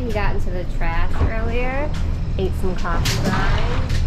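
A woman speaks at a very slow pace. Loud background noise runs underneath. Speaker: sailing vlogger. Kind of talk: casual vlog chat. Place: boat. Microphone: phone near.

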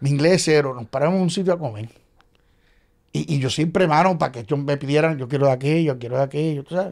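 A man with a fairly high voice speaks at a very fast pace. His pitch varies an ordinary amount, and the background is quiet. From Puerto Rico. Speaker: playwright and actor; actor. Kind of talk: casual chat. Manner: animated. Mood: humorous anecdote telling. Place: studio. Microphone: studio mic.

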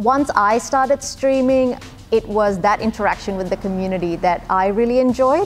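With faint music in the background, a woman talks at a moderate pace with ordinary pitch variation. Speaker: gamer. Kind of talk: interview answer. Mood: warm, smiling, reflective. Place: studio. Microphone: lapel.

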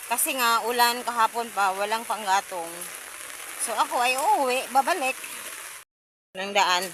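Speaking at a fairly slow pace with long, frequent pauses, a woman uses a fairly high voice with ordinary pitch variation. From Philippines. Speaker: vlogger. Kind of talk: casual vlog monologue. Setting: outdoors in the rain.

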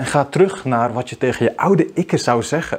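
A man at medium pitch and a moderate pace. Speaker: video marketing coach. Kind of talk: vlog monologue. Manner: unscripted, spontaneous. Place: home room. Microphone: lapel.

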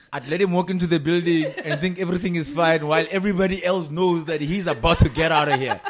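A man speaks very fast with hardly any pauses, his high-pitched voice keeping a fairly even intonation. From South Africa. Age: 30s. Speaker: podcast co-host. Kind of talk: casual chat. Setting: studio. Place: home room. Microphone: studio mic.

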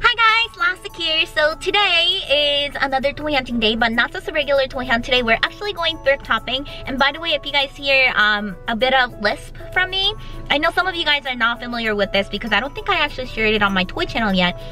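In a raised, projected voice, a woman speaks at a very fast pace with hardly any pauses, the sound dry with no echo and faint music in the background. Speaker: toy collector vlogger. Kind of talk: casual vlog chat. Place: car. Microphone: phone near.

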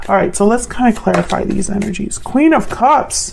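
A woman talks in a plain, everyday voice at a moderate pace, with ordinary pitch variation. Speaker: tarot reader. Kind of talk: tarot reading commentary. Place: home room.

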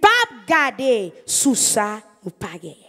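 A woman with a Haitian accent speaks very slowly in a bright, sharp tone, her pitch swinging very widely against a quiet background. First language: Haitian Creole (speaking French). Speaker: evangelist preacher. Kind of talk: sermon. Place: church. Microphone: handheld.

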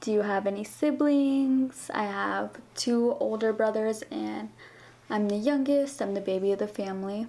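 A woman with an American accent speaks at a moderate pace in a fairly high pitch, with ordinary pitch variation and a dark, mellow tone. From US West, Las Vegas; Nevada. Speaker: beauty vlogger. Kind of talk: casual Q&A vlog. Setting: home. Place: home room. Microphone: camera far.

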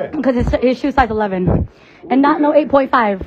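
Light background noise sits behind a woman speaking. She goes at a fairly slow pace with ordinary pitch variation. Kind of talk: playful party banter. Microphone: handheld.

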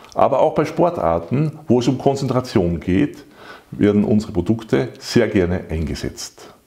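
A man's voice sits at a medium pitch with a dark, mellow tone and vocal fry. His pitch swings very widely. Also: moderate pace. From Salzburg, Austria. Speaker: patent holder and company director. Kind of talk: sales pitch. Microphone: lapel.

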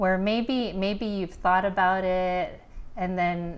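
A woman with an American accent at a very slow pace. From Pittsburgh, US. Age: 40s. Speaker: author and life coach. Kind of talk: interview. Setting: studio. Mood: warm, smiling, open. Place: studio. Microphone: lapel.

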